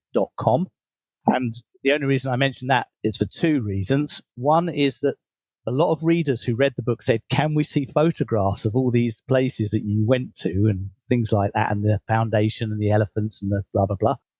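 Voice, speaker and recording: Over a very clean, silent background, a man speaks at a moderate pace and medium pitch with ordinary pitch variation. His voice is somewhat breathy, and the sound is dry and close with no echo. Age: 60s. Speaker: leadership coach and author. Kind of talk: interview.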